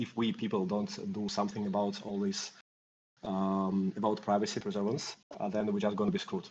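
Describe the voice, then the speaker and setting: A man with a Russian accent and monotone, flat intonation. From Russia and Greece. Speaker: mix node operator. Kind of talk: interview. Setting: online community call. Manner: halting with many fillers.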